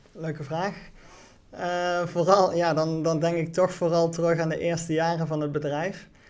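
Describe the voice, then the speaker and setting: Audible room echo surrounds a man with a high-pitched voice. He speaks at a moderate pace in a monotone, flat intonation. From Netherlands, Venray (Limburg). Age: 30s. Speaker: entrepreneur. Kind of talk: interview. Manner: halting.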